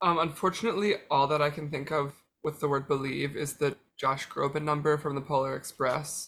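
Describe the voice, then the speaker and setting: A man talks at a fairly quick pace in an ordinary speaking voice. His pitch is fairly high and his intonation fairly even. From Pennsylvania. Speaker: quiz contestant. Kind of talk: casual chat. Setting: remote call.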